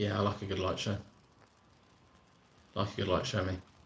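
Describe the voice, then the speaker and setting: With a British accent, a man is talking. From southern England, Surrey. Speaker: theme park vlogger. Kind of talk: live stream chat. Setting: live stream from laptop. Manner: casual, repetitive.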